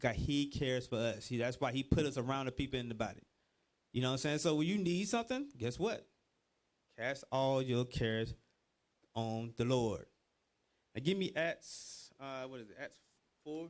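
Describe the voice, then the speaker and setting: With a Georgia accent, a man speaks in an animated tone at a moderate pace and medium pitch, with ordinary pitch variation and long, frequent pauses. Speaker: religious teacher. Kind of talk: bible class teaching.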